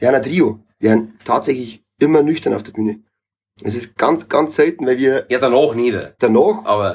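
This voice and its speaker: The speaker talks at a moderate pace with a Bavarian accent. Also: man. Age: 30s. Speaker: reggae musician. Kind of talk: casual chat.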